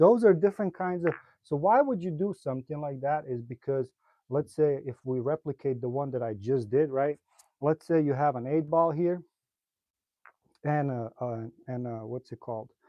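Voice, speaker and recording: With a slight non-native accent, a man speaks at a moderate pace in a fairly high voice with ordinary pitch variation. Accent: slight foreign. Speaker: pool player and streamer. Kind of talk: live stream tutorial. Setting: live stream. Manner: casual, hesitant with fillers.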